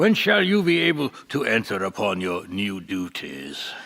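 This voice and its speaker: A man uses a put-on character voice with a fairly low pitch. He keeps a moderate pace. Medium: old radio play. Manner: chuckling, genial, mock-formal.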